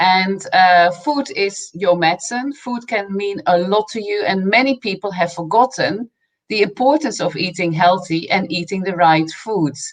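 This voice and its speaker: A woman with a slight Dutch accent speaks at a fairly slow pace. She hardly pauses at all. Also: medium pitch for a woman, ordinary pitch variation. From Netherlands. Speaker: nutrition coach. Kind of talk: interview.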